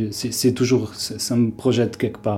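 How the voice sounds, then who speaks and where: At a very slow pace, a man speaks at a medium pitch with monotone, flat intonation. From Lebanon, Beirut. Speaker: architect and ambient musician. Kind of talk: interview. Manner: halting.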